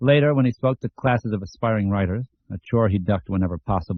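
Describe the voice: Plain reading aloud carries ordinary pitch variation, and the background is quiet.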